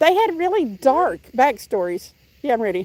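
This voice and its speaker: With a Southern US accent, a woman speaks at a high pitch and a moderate pace. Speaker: fishing livestreamer. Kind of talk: casual chat.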